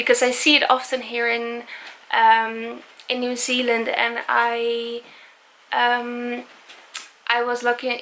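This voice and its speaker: Her voice high in pitch, a woman speaks with a non-native accent. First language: not English. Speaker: travel vlogger. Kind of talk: casual vlog monologue. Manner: halting, many fillers.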